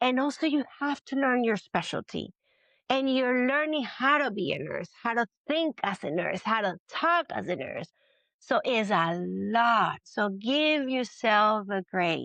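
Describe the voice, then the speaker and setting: A woman with a Spanish accent speaks at a fairly slow pace over a quiet background. Her tone is bright and sharp, her pitch fairly high and her intonation lively. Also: dry, close sound with no echo. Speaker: labor and delivery nurse. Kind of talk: interview. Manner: halting.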